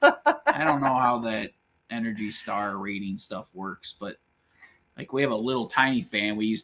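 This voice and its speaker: With an Upper Midwest accent, a man speaks at a moderate pace and medium pitch, his pitch varying in an ordinary way. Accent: Upper Midwest American. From Michigan. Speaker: YouTube channel co-host. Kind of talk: casual livestream chat. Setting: off-grid cabin livestream.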